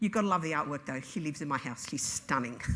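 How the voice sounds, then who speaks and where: Bright and sharp in tone, a woman's voice in an Australian accent sits on a very clean recording with a silent background. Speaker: EFT trainer and business owner. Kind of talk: conference talk. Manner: fast; nervy.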